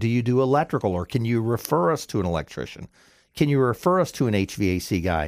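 With an American accent, the voice races at a very fast pace with very wide pitch swings, in a very clean recording over a silent background. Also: man. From Florida, Pinellas County. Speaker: business owner, plumbing company. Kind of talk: interview testimony. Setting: radio studio.

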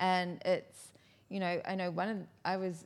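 A woman with a New Zealand accent talks at a fairly quick pace on a very clean recording with a silent background. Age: 40s. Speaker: sake specialist. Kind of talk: casual chat. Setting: studio.

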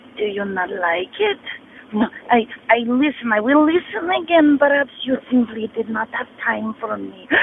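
A woman speaks at a moderate pace with lively intonation. Noticeable background noise runs underneath. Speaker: horror fan caller. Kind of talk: voicemail message. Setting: phone call.

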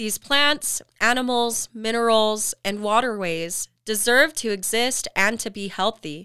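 On a very clean recording with a silent background and a dry, close sound with no echo, a woman with a Western US accent speaks fairly slowly at a fairly high pitch in a bright, sharp tone, with hardly any pauses. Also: ordinary pitch variation. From Utah, Salt Lake area. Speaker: podcast host. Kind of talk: scripted narration.

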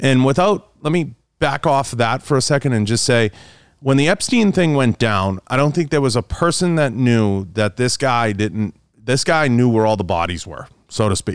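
In a dry, close sound with no echo, a man with an unremarkable speaking voice talks at a moderate pace and medium pitch with lively intonation. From Boston, Massachusetts. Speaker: podcast host and outdoor media personality. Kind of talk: casual chat.

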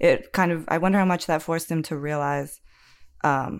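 An ordinary speaking voice from a woman with an American accent, fairly low in pitch with ordinary pitch variation at a moderate pace, on a very clean recording with a silent background. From rural United States. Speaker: academic researcher of Russia. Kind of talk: casual discussion.

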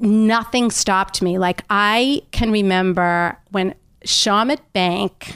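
A woman speaks in a normal speaking voice at a medium pitch with ordinary pitch variation. The sound is dry and close with no echo, on a very clean recording with a silent background. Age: 60s. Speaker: health coach and entrepreneur. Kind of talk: interview. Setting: makeshift home studio.

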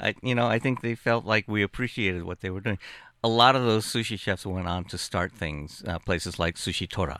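Speaking at a fairly quick pace, a man uses an unremarkable speaking voice with a fairly low pitch and ordinary pitch variation. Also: very clean recording, silent background. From born in Japan, Japanese-American family. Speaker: food writer. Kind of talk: casual chat.

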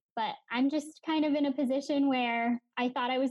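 In an American accent, a woman talks at a moderate pace with a high pitch and ordinary pitch variation. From Pennsylvania. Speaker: graduate student. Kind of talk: casual chat.

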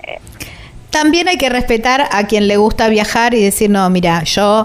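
Noticeable background noise surrounds a woman speaking at a medium pitch. Her pitch varies in an ordinary way. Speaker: radio travel show host. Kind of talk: casual interview. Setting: recording on the road.

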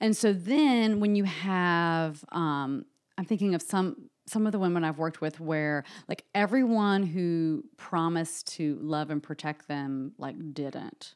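A woman with a plain, everyday voice and an American accent speaks at a fairly slow pace with lively intonation and a fairly low pitch. The recording is very clean, with a silent background. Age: 30s. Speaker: psychotherapist. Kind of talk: interview.

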